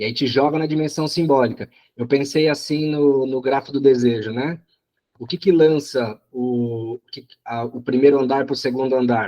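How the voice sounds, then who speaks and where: At a moderate pace, a man speaks at a medium pitch with fairly even intonation and big swings in loudness. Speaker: psychoanalysis study group coordinator. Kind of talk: study group discussion. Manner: halting, many repetitions.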